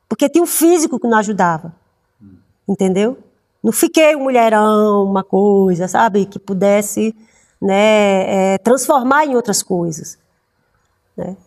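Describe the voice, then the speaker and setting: A woman speaks at medium pitch with lively intonation. She goes at a fairly slow pace, leaving long, frequent pauses. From Paraíba, Brazil. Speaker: actress. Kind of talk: interview. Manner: halting, many fillers.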